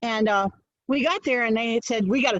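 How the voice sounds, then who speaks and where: Very fast in pace, a woman talks at a fairly high pitch. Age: 70s. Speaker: storyteller. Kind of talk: personal storytelling performance. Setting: live video stream. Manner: hesitant, many fillers.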